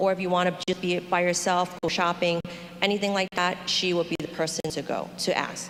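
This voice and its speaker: Against noticeable background noise, a woman with a fairly low voice speaks at a moderate pace. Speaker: tour company representative. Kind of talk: information meeting presentation.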